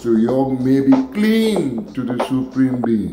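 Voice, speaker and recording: A man's very slow pace against noticeable background noise. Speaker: dub poet. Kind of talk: poetry reading. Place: home room. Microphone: phone near.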